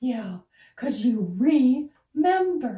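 A female-sounding, cartoonish character voice pitched fairly high. An echo is audible around it. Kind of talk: children's educational show dialogue. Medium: puppet show. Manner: patient, teacherly.

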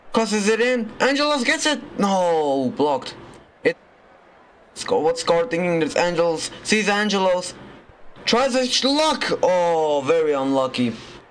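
A man's high-pitched voice with very wide pitch swings at a fairly slow pace, amid noticeable background noise. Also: very even loudness. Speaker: sports commentator. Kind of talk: live commentary on a Roblox football match. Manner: animated, exclaiming and laughing at goals.

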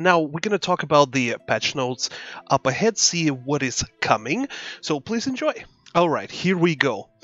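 Quiet and at a moderate pace, a man's fairly high voice moves in very wide pitch swings. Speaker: gaming youtuber. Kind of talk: game patch notes overview. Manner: hesitant, many fillers.

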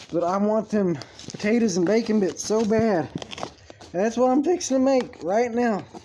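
The loudness stays very even at a moderate pace. Noticeable background noise runs underneath. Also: man, high pitch for a man. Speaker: vlogger. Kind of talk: casual vlog monologue. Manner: halting.

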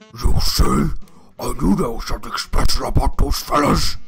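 A man speaks at a moderate pace in a raspy, put-on character voice. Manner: evil, scheming.

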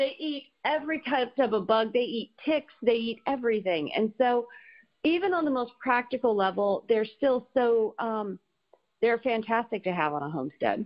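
With an American accent and a normal speaking voice, a woman talks at a moderate pace, her fairly high pitch carried by lively intonation. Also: big swings in loudness. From Colorado and Florida. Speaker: animal sanctuary co-founder. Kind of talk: casual interview.

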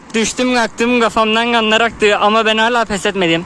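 A man with a Cypriot accent uses a raised, projected voice that is high-pitched and fairly even in intonation, with noticeable background noise behind him. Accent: Cypriot Turkish. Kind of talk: casual vlog talk while riding.

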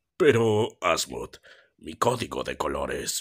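The man speaks fairly slowly. He uses a put-on, raspy character voice.

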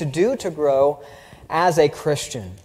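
A man speaks with a Southern US accent at a fairly slow pace. The background is quiet. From US South. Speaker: preacher. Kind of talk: sermon. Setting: church. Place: church. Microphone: podium.

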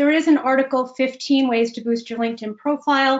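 A woman with an American accent speaks at a high pitch and moderate pace. Her intonation stays fairly even over a quiet background. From US Midwest, Chicago. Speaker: executive coach. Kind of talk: webinar presentation. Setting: video call. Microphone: webcam.

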